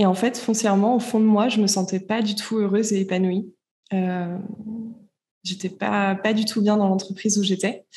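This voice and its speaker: Her voice somewhat breathy and dark, mellow in tone, a woman of medium pitch talks at a moderate pace in monotone, flat intonation with long, frequent pauses. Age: 20s. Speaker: entrepreneur and podcaster. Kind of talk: interview. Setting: remote call.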